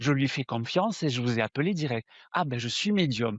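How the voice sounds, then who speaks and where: A man's lively intonation carries through speech at a moderate pace. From southern France. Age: 60s. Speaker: spiritual medium. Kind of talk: interview. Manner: hesitant, with fillers and repetitions.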